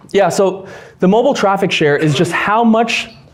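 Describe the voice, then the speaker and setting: A man talks at a moderate pace with lively intonation. Noticeable background noise runs under his voice. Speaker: YouTube business coach. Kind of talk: live presentation to a room. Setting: room with live audience.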